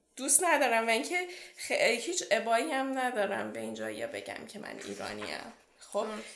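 Audible room echo surrounds a woman who talks at a fairly quick pace with big swings in loudness. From Iran. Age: 20s. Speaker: PhD student. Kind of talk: interview.

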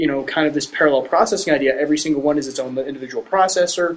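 Ordinary pitch variation marks this man's a plain, everyday voice, pitched fairly high. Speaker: podcast co-host. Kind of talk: casual discussion.

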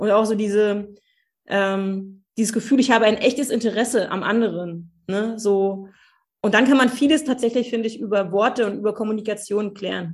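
A woman speaks in a plain, everyday voice at a fairly high pitch and a moderate pace. Her intonation is fairly even, and the recording is very clean with a silent background. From eastern Germany, Cottbus. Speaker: social worker and family coach. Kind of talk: interview.

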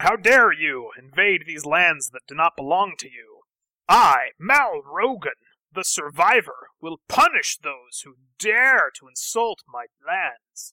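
This is a put-on character voice, gruff and at a middle pitch. It moves at a fairly slow pace. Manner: yelling, threatening, proud.

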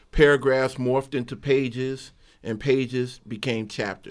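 A man speaks with an American accent at a fairly slow pace. His medium pitch moves in fairly even intonation. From Chicago, South Side. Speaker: author. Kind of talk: radio interview.

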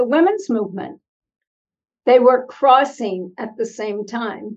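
A woman's high-pitched voice with an American accent. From US Northeast (Pennsylvania). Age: 80s+. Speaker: author and former nun. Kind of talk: interview.

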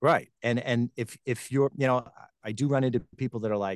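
At a fairly quick pace, a man speaks with an unremarkable speaking voice at medium pitch. The sound is dry and close, with no echo. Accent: American. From Long Island, New York. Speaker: TV host and voiceover talent. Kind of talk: interview.

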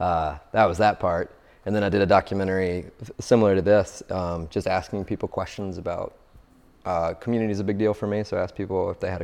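Speaking at a very fast pace, a man talks in a fairly low-pitched voice. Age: 30s. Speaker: artist. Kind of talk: casual interview. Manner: hesitant, many fillers.

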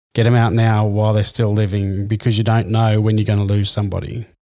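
A man with an Australian accent, fairly low in pitch, dark and mellow in tone, monotone and flat, on a very clean recording with a silent background. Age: 40s. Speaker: sports podcast host. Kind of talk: casual chat.

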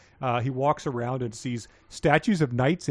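The speaker gives a plain reading aloud, and the pitch shifts in an ordinary way.

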